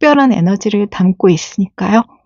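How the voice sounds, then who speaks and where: Ordinary pitch variation in a woman's voice pitched fairly high. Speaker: tarot reader. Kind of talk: tarot reading to camera.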